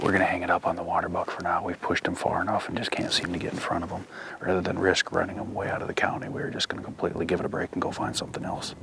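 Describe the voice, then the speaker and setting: Someone whispers at a very fast pace with hardly any pauses. Noticeable background noise runs underneath. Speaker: hunting show host. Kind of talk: hunting field narration. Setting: outdoors.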